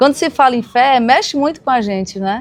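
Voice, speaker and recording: Against noticeable background noise, a woman speaks at a high pitch and moderate pace with ordinary pitch variation. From Brazil, Ceará (Serra da Ibiapaba). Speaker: podcast host. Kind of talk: podcast interview.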